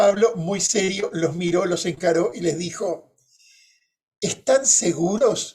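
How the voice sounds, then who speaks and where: Speaking at a fairly slow pace, a man with a high pitch talks with a Uruguayan accent. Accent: Rioplatense Spanish (Uruguayan). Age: 60s. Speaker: moderator, journalist. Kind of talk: panel moderation with personal anecdotes. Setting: conference panel.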